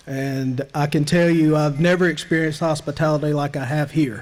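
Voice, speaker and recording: Against noticeable background noise, the voice moves at a moderate pace with fairly even intonation. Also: man. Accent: Southern US. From US South. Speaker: nonprofit leader. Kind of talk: banquet speech. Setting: banquet hall with audience.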